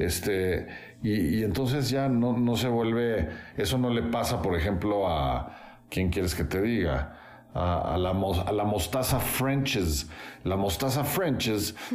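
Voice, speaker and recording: Amid noticeable background noise and audible room echo, a man with a fairly low pitch speaks very slowly with lively intonation. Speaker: architect and musician. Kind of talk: casual interview.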